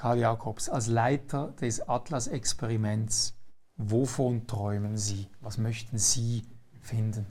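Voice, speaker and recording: At a very slow pace, a man speaks in a dark, mellow, somewhat breathy tone with a medium pitch and fairly even intonation. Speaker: talk show host. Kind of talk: interview.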